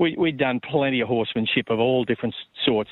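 A man at medium pitch and a moderate pace. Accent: Australian. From New South Wales, Australia (Sydney and Yass). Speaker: racehorse trainer and former broadcaster. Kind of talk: interview. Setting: phone call. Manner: casual.

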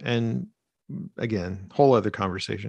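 A man's medium-pitched voice with vocal fry at a moderate pace, dry and close with no echo, against a quiet background. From Arkansas, rural small town. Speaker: creative writing professor. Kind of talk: casual chat.

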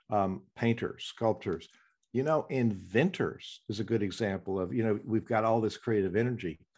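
A man speaks at a moderate pace in a fairly low pitch, over a quiet background. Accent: Southern US. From US South. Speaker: podcast host and musician. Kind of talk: interview.

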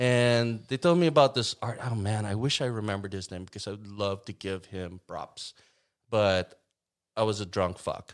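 A normal speaking voice at a moderate pace, with ordinary pitch variation and big swings in loudness, comes through on a very clean recording with a silent background. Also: man, fairly low pitch for a man. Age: 60s. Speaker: bass player and songwriter. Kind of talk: casual chat.

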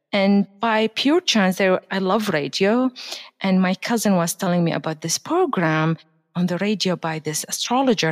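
A woman of medium pitch speaks fairly slowly with lively intonation. The sound is dry and close, with no echo. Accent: Arabic. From Baghdad, Iraq. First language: Arabic. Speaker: astrologer and hypnotherapist. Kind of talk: casual interview.

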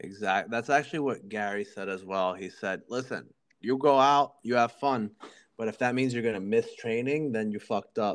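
In an unremarkable speaking voice, a man talks at a medium pitch and moderate pace with ordinary pitch variation against a quiet background. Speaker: jiu-jitsu podcast host and gym owner. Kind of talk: casual interview chat.

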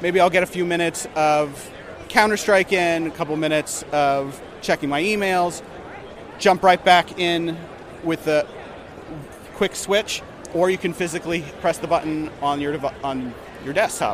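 A man speaks with a high pitch and fairly even intonation at a moderate pace. Long, frequent pauses break up his speech over noticeable background noise. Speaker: marketing manager. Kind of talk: product demo. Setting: trade show floor.

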